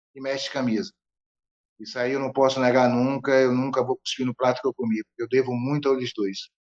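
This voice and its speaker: A plain, everyday voice from a man at medium pitch, with a dry, close sound and no echo. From Bahia, Brazil (Feira de Santana). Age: 60s. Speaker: capoeira master. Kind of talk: interview conversation.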